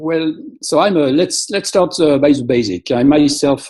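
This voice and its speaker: A man with a French accent talks in a dark, mellow tone. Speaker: molecular biologist, app company founder. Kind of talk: presentation. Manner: halting, many fillers.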